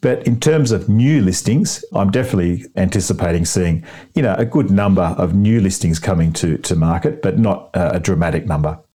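A man with an Australian accent talks at a fairly quick pace with hardly any pauses, a very deep, low pitch, a dark, mellow tone, lively intonation and very even loudness. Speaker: buyer's advocate. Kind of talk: interview. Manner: upbeat.

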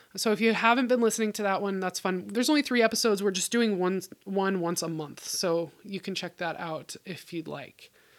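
A woman with a Pacific Northwest accent speaks at a moderate pace and medium pitch, with ordinary pitch variation. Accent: General American (Pacific Northwest). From US Pacific Northwest, Bellingham, Washington. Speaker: podcast host, homesteader. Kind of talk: casual solo monologue.

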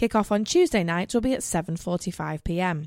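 In a dry, close sound with no echo and a very clean recording with a silent background, a woman with an unremarkable speaking voice talks at a moderate pace with lively intonation. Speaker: radio host. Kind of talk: scripted radio show presentation. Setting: radio studio.

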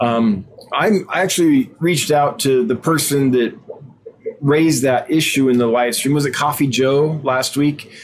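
The speech moves at a fairly slow pace with very even loudness and ordinary pitch variation, over noticeable background noise. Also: man, fairly high pitch for a man. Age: 40s. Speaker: aquarium fish seller and livestream host. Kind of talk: live stream Q&A chat. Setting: live video stream. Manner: animated.

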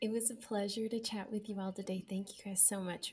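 Somewhat breathy, a woman speaks at a medium pitch and a fairly quick pace with fairly even intonation. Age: 30s. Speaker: sewing pattern designer and marketer. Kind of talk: casual chat. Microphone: audio problems.

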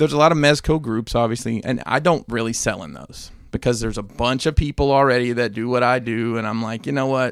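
A plain, everyday voice, a man's, medium-pitched with ordinary pitch variation and a fairly quick pace. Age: 40s. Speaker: toy collector podcast co-host. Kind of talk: casual chat.

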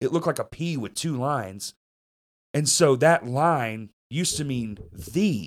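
With a Southern US accent, a man at a fairly high pitch speaks with lively intonation on a very clean recording with a silent background. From US South (Arkansas). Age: 30s. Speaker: podcast host. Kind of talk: casual chat. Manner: profane, swears constantly; laughs often.

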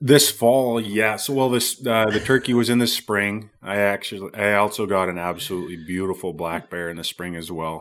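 A man has a plain, everyday voice, fairly low in pitch with ordinary pitch variation. He keeps a moderate pace with hardly any pauses, in a very clean recording with a silent background. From Canada, Squamish BC. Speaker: hunting show host, former pro football player. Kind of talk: casual interview.

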